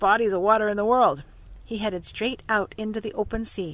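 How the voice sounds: The reading comes across in a natural voice.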